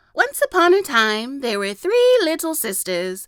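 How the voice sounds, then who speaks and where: A woman does a put-on character voice, hoarse and high in pitch. Her pitch swings very widely, and her pace is moderate. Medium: read story.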